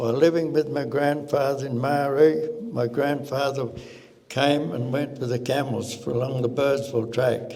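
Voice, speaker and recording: With a strong Australian accent, the speaker talks at a moderate pace with fairly even intonation, over noticeable background noise and audible room echo. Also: man, fairly high pitch for a man. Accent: broad Australian. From South Australia outback (Marree). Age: 80s+. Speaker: cameleer descendant. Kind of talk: oral history talk. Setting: stage with audience. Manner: halting.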